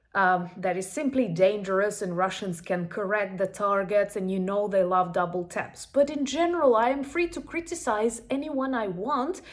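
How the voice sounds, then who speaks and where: Speaking at a moderate pace with hardly any pauses, a woman with a Ukrainian accent uses a medium pitch and very wide pitch swings. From Ukraine. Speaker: YouTuber. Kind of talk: casual commentary.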